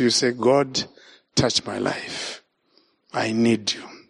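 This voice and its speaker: The speaker is a man. He talks with a Zimbabwean accent. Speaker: evangelist. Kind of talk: sermon. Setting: church. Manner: animated.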